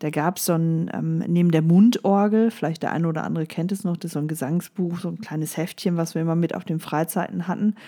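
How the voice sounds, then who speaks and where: Fairly low in pitch with a dark, mellow tone, a woman talks very fast with hardly any pauses and fairly even intonation. The recording is very clean and the background silent. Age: 40s. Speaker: life coach podcaster. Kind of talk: solo motivational podcast monologue. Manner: casual with frequent fillers.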